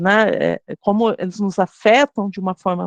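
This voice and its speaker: At a very slow pace, a woman talks with a fairly high pitch, in a dry, close sound with no echo and a quiet background. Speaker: university lecturer teaching a course for teachers. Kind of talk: online lecture. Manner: hesitant, many fillers.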